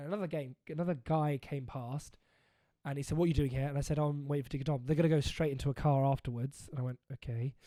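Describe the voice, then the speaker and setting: A man with an English accent speaks at a very fast pace in a fairly high voice with a dark, mellow tone. His intonation stays fairly even, and the recording is very clean with a silent background. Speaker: podcast host. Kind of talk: casual chat.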